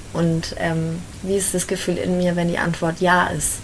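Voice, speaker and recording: A woman speaking very slowly amid noticeable background noise and audible room echo. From Bavaria, Germany (Fürth, Franconia). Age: 20s. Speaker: life coach in training. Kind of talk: interview conversation. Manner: hesitant, many filler sounds.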